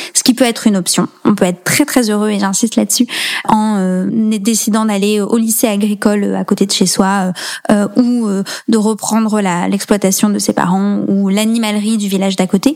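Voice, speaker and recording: Noticeable background noise sits behind a woman whose medium-pitched voice keeps fairly even intonation. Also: moderate pace. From rural central France (Allier, Nièvre). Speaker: nonprofit founder. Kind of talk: interview.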